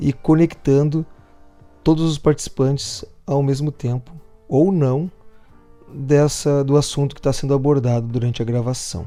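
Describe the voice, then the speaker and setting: Music plays behind a man speaking at a moderate pace. His pitch is fairly high and his intonation fairly even. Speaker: podcast workshop instructor. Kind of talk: lecture.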